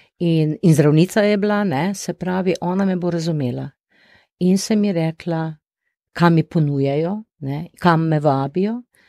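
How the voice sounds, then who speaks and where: The tone is dark and mellow, with ordinary pitch variation. The recording is very clean, with a silent background and a dry, close sound with no echo. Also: woman, fairly low pitch for a woman. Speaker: retired doctor and family organization founder. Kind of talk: interview.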